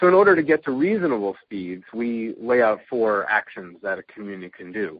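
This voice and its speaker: Speaking at a fairly quick pace and medium pitch, a man shows very wide pitch swings and big swings in loudness. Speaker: advocacy presenter. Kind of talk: webinar presentation. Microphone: audio cutting in and out.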